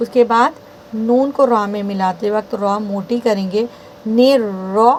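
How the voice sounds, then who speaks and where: With noticeable background noise, a woman's fairly high voice shows ordinary pitch variation. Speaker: Quran recitation teacher. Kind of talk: tutorial.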